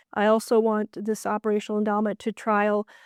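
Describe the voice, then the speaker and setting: In a very clean recording with a silent background and a dry, close sound with no echo, a woman speaks in a fairly high, flat monotone. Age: 60s. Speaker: library director. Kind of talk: interview.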